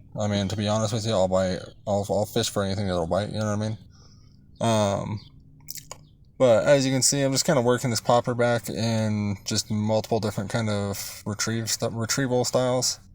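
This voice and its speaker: A man with an American accent talks in a normal speaking voice, fairly low in pitch. His pace is fairly quick. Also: fairly even intonation. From Colorado. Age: 20s. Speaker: fishing vlogger. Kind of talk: voiceover narration. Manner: casual, filler-heavy.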